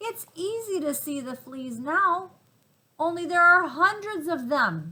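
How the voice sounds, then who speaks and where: At a fairly slow pace, a woman uses a put-on character voice at extremely high pitch. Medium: read story.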